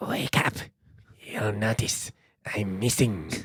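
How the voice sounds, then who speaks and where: In a put-on character voice, the speaker talks low and raspy at a fairly slow pace. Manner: creepy.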